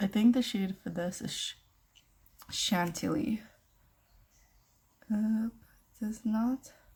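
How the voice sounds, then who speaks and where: The voice is somewhat breathy, very slow and fairly even in intonation, broken by long, frequent pauses. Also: woman. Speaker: beauty vlogger. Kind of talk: tutorial. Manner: casual.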